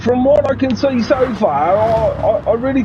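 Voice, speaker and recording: At a very slow pace, the speaker talks with a slight Australian accent over noticeable background noise. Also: man. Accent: slight Australian twang. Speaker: guest commentator on sim racing stream. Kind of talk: live race commentary banter. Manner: hesitant, many fillers and repetitions.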